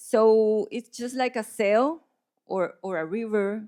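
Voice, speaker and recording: Speaking very slowly in a Spanish accent, a woman uses a fairly high pitch and ordinary pitch variation on a very clean recording with a silent background. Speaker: visual artist. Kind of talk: panel conversation. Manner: halting, many repetitions.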